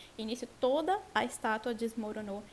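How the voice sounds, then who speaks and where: Amid noticeable background noise, a woman speaks at a moderate pace in a high voice with ordinary pitch variation. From Brazil, Vitória, Espírito Santo. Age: 20s. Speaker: Bible teacher in women's ministry. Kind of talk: Bible study conversation.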